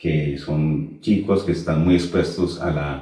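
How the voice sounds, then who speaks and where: A man speaks with a Colombian accent and a very deep, low pitch. Audible echo fills the room. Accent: Colombian, noticeable. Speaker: teacher and Kabbalah instructor. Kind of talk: interview.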